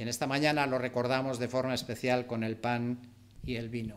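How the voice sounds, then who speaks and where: The room echo is audible as a man speaks. His pitch is medium and his pace moderate. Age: 60s. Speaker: preacher. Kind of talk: sermon.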